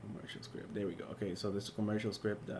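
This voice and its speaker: Audible room echo surrounds a man speaking in a fairly low pitch. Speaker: teaching assistant. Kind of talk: tutorial. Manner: fast; hesitant, many fillers.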